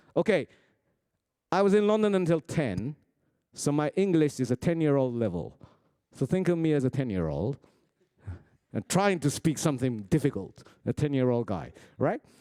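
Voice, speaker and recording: A man with a Japanese accent, fairly high-pitched yet dark and mellow in tone, with very wide pitch swings, long and frequent pauses, and a dry, close sound free of echo. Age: 40s. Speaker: rapper and crew meeting moderator. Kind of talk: motivational talk to a crew. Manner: simple, deliberate phrasing.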